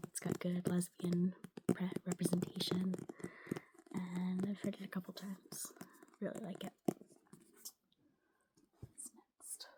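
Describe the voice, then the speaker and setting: Soft-spoken, the speaker moves at a fairly slow pace with long, frequent pauses. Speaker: ASMR creator. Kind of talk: casual talk to camera.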